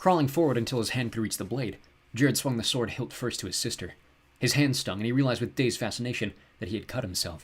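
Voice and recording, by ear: This is someone reading aloud in a natural voice, with fairly even intonation.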